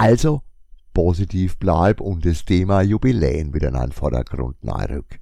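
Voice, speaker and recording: This man has a very deep, low pitch and a dark, mellow tone, with very wide pitch swings and vocal fry. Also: fairly slow pace. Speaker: podcaster, comic shop owner. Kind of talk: casual monologue.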